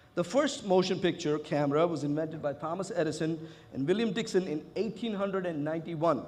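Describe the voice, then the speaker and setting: Recorded with audible room echo, a man talks at a high pitch with ordinary pitch variation. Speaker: conference speaker. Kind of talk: conference talk. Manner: loud.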